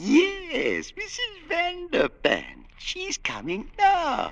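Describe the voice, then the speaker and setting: At a very slow pace, this put-on character voice sits at an extremely high pitch. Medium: old radio play.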